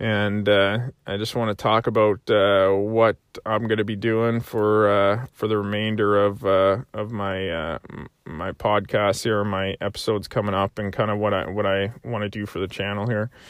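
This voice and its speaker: A man with a Canadian Maritime accent speaks at a moderate pace in a fairly low pitch with monotone, flat intonation. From Prince Edward Island, Canada. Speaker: podcast host, soldier and hunter. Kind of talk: solo monologue podcast. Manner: halting, many fillers.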